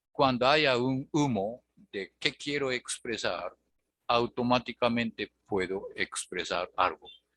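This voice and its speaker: With a strong Japanese accent, a man speaks at a very slow pace and a medium pitch. His tone is bright and sharp, with ordinary pitch variation. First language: Japanese (speaking Spanish). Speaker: language teacher. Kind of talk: online tutoring lesson. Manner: hesitant with many fillers.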